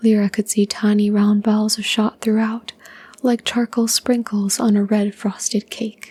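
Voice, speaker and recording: A soft-spoken woman's fairly high, somewhat breathy voice with a dark, mellow tone, monotone, flat intonation, a moderate pace and a dry, close sound with no echo. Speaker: ASMR channel host and story reader. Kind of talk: calm narration of a fantasy short story.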